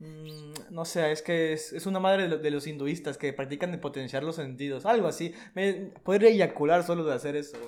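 A man's fairly high voice carries ordinary pitch variation and moves at a moderate pace. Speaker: podcast co-host. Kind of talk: casual chat. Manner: animated.

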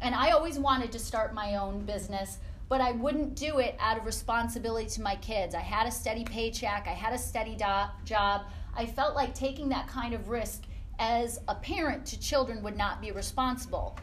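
A woman with an American accent and a fairly high voice speaks with ordinary pitch variation, with audible room echo around her. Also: moderate pace. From upstate New York. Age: 40s. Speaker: fitness business owner. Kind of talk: guest talk to a class. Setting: classroom with audience.

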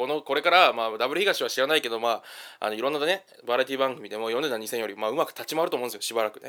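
In a very clean recording with a silent background, a man speaks at a medium pitch, his tone bright and sharp and his intonation lively. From Kanto region, Japan. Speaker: podcast host, comedy commentator. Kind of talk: solo commentary monologue. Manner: casual with many fillers.

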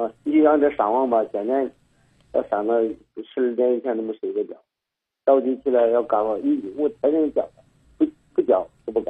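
Here a man talks at a moderate pace. He leaves long, frequent pauses. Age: 60s. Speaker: caller, father seeking advice. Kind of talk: call-in advice conversation. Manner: halting, repetitive.

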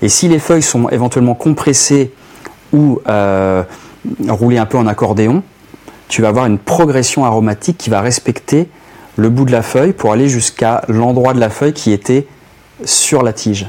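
Long, frequent pauses break up a man's speech. His loudness stays very even and his pitch varies in an ordinary way, with noticeable background noise behind him. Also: medium pitch for a man, moderate pace. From western France, Nantes area. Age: 40s. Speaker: cigar expert and author. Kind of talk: casual chat.

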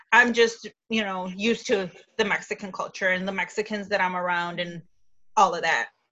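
Speaking at a fairly quick pace with a Chicago accent, a woman keeps a medium pitch and fairly even intonation. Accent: Chicago area American. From Chicago area, Illinois. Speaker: guest. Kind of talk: casual discussion.

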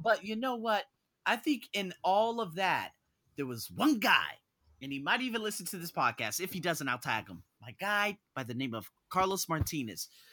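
Speaking at a moderate pace with an American accent, a man with a high pitch uses very wide pitch swings and big swings in loudness, his animated tone bright and sharp, in a very clean recording with a silent background. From US, North Las Vegas. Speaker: podcast host, personal development coach. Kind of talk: podcast interview.

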